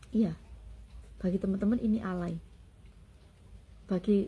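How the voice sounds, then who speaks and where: A woman speaks with a somewhat breathy, dark and mellow tone at a medium pitch, her intonation fairly even. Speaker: content creator. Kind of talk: personal vlog monologue.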